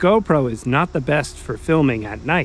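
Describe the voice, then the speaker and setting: Here a man has an ordinary speaking voice with a fairly high pitch. He talks at a moderate pace with ordinary pitch variation. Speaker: railfan video narrator. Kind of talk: documentary voiceover narration. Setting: college radio station studio, muffled with background buzz.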